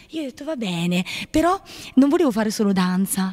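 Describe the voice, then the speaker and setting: A woman's dark, mellow tone moves through very wide pitch swings at a moderate pace. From Apulia, southern Italy. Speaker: nun. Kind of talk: testimony. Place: home room. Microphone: handheld.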